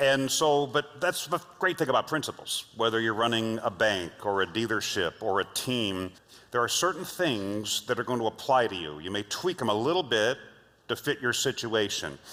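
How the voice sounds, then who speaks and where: At a moderate pace, a man speaks in a medium pitch with a bright, sharp tone and very wide pitch swings. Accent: General American. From Los Angeles, US. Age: 60s. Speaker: leadership trainer and speaker. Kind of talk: keynote talk.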